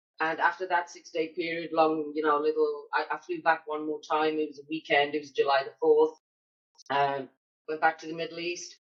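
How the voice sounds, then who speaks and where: A woman with a British accent speaks at a moderate pace in a very deep, low voice. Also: big swings in loudness. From Britain. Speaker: military spouse entrepreneur. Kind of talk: casual chat. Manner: animated.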